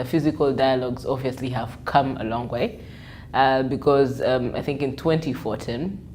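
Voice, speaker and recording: A woman's very deep, low voice at a fairly slow pace, with fairly even intonation and audible room echo. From Uganda. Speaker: journalist and digital media consultant. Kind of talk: interview monologue. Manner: hesitant, many fillers.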